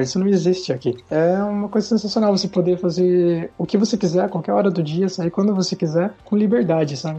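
A man with a high pitch and ordinary pitch variation talks at a fairly quick pace over noticeable background noise. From Brazil, interior of São Paulo state (Sorocaba). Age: 20s. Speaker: software developer. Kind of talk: interview.

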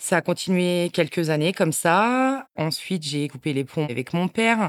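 On a very clean recording with a silent background and a dry, close sound with no echo, a woman speaks at a fairly slow pace with very wide pitch swings. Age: 40s. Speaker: abuse survivor sharing her story. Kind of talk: testimony.

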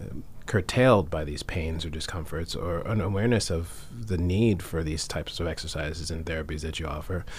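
A man talks at a fairly quick pace with a very deep, low pitch and a somewhat breathy voice. There is audible room echo. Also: ordinary pitch variation. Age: 40s. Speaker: radio health show host, acupuncture physician. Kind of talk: interview. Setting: studio.

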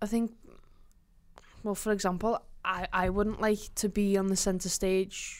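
A woman with a Liverpool accent speaks fairly slowly at a medium pitch, flat and monotone, with long, frequent pauses. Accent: Scouse. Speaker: podcast host. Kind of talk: casual banter chat.

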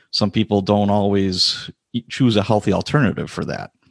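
Against a quiet background, a man speaks at a moderate pace in a fairly low voice with fairly even intonation, the sound dry and close with no echo. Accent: Upper Midwest. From US Midwest, Chicago and Wisconsin. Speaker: retired police sergeant. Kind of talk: interview.

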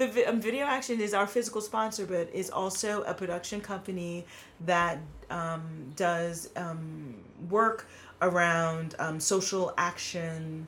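A woman with a plain, everyday voice speaks at a fairly slow pace in an American accent, her pitch fairly low with ordinary variation. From New York City (Queens). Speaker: filmmaker and theater artist. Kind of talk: casual chat.

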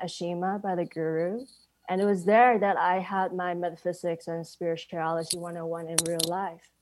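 A woman talks at a moderate pace and medium pitch in an ordinary speaking voice. The recording is very clean with a silent background. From Hong Kong, later Canada. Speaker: full-time staff member of a spiritual society. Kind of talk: personal testimony.

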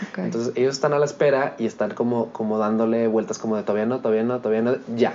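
A man talks at a medium pitch. Background noise is noticeable. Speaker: musical theatre actor. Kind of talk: casual interview. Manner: animated.

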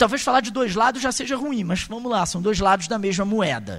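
A high-pitched man speaks at a moderate pace with lively intonation. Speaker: university professor. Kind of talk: lecture. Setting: university auditorium with audience.

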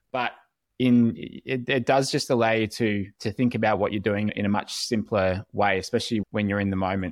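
A man with an Australian accent speaks at a moderate pace and fairly low pitch, with fairly even intonation. The dry, close sound has no echo in a very clean recording with a silent background. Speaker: podcast host, swim coach. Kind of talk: casual interview.

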